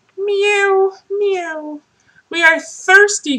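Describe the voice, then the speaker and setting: A woman puts on a character voice at an extremely high pitch. It sounds squeaky. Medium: read story.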